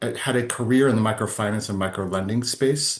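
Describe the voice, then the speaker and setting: A man with an American accent has an ordinary speaking voice, pitched fairly low with ordinary variation. He talks at a moderate pace against a quiet background. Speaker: philanthropy and conference organizer. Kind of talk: interview.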